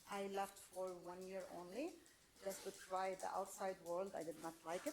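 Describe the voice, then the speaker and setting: In a Lebanese accent, the speaker talks at a moderate pace with ordinary pitch variation over noticeable background noise. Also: woman. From Lebanon. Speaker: real estate trainer and coach. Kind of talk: class introduction.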